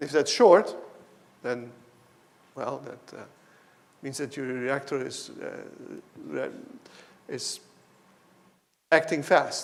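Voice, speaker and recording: A man speaks very slowly, leaving long, frequent pauses. His loudness swings widely, and the room echo is audible. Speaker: professor. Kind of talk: lecture.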